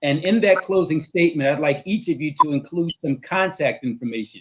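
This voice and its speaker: Talking at a fairly quick pace in an American accent, a man uses a fairly high pitch with ordinary pitch variation. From Philadelphia, US. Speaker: attorney and talk show host. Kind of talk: talk show moderation.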